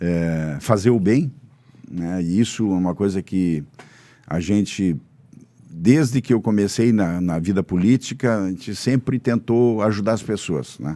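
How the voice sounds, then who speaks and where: This man talks at a fairly slow pace in a fairly low pitch. His tone is dark and mellow, with ordinary pitch variation. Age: 70s. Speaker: politician. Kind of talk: casual interview. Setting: studio.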